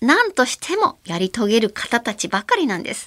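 A woman talks at a moderate pace, her pitch fairly high. Her voice swings very widely in pitch, and the sound is dry and close with no echo. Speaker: radio host, actress and voice actor. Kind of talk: casual solo podcast monologue. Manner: relaxed, chatty.

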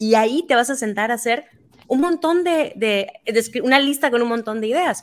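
Very wide pitch swings run through the speech. It unfolds at a fairly slow pace. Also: woman. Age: 30s. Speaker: writer and activist. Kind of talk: casual chat.

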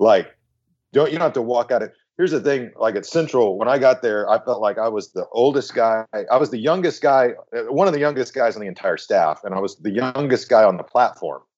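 Here a man talks at a fairly quick pace with lively intonation. He has a plain, everyday voice. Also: medium pitch for a man. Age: 40s. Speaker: megachurch senior pastor. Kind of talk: casual chat. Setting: remote call.

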